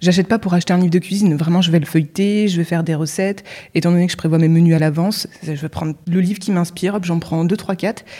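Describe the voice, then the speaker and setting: With a dark, mellow tone and fairly even intonation, a woman speaks at a very fast pace in a fairly low pitch. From Normandy, France. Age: 30s. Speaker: web writer and Instagram coach. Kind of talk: casual interview chat. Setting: in person recording in Lille.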